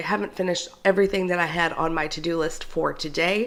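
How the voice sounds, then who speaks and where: Here a woman speaks at a fairly low pitch. Her pace is moderate. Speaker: book vlogger. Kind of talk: casual vlog chat. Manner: chatty, animated. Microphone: new microphone.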